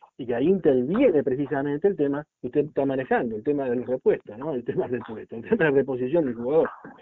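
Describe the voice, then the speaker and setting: A man talks at a very fast pace with hardly any pauses. His pitch is fairly high. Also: ordinary pitch variation. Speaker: football podcast co-host. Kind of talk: casual sports talk. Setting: remote call with co-host. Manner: formal.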